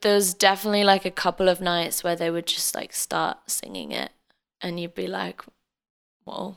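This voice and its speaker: A woman speaks with an Australian accent in a medium pitch and flat, monotone intonation. The recording is very clean, with a silent background. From Australia (Adelaide), born in England until about age ten. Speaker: singer-songwriter. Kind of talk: casual interview.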